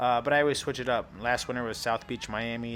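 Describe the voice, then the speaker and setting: Speaking at a very fast pace, a man talks at a medium pitch. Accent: American. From St. Louis, Missouri, US Midwest. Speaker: travel vlogger. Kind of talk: casual vlog tour narration.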